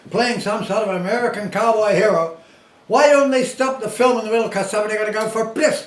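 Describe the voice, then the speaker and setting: Over noticeable background noise and audible room echo, a man with a high pitch and an animated tone speaks with ordinary pitch variation. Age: 70s. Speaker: former boxer. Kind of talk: casual chat.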